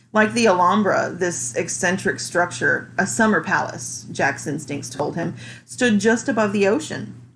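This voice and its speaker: Vocal fry runs through this fairly slow delivery, which has very wide pitch swings. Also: woman, fairly low pitch for a woman. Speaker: amateur reader. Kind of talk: audiobook reading.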